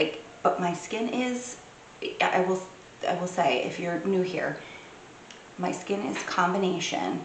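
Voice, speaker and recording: Moderate pace amid audible room echo and noticeable background noise. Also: woman. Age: 40s. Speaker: beauty vlogger. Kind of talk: product review. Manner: casual, hesitant with fillers.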